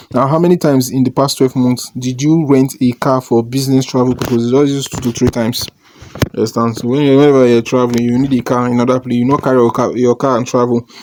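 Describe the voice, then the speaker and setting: Over noticeable background noise, a man talks very fast at a medium pitch in a monotone, flat intonation. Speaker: online money-making YouTuber. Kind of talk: tutorial. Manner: casual, hesitant with fillers.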